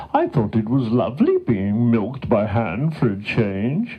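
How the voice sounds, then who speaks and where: In a put-on character voice, a man delivers his lines at a moderate speed with a medium pitch. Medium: read story. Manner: bright, upbeat.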